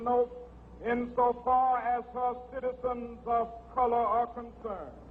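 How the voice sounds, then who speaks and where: An extremely high-pitched man with an American accent at a fairly slow pace, against noticeable background noise. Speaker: civil rights leader and minister. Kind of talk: public political speech. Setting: outdoor rally with crowd, historical recording.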